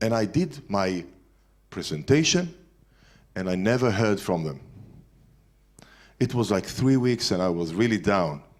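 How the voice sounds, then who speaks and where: Here a man talks in a fairly low pitch with an Israeli accent. The recording is very clean and the background silent. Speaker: entrepreneur speaker. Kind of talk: lecture. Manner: halting.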